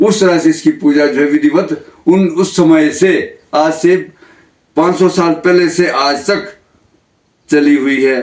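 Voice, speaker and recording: With a high pitch, fairly even intonation and very even loudness, a man speaks. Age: 70s. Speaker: temple priest. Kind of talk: interview, telling local temple history. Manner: halting, with fillers.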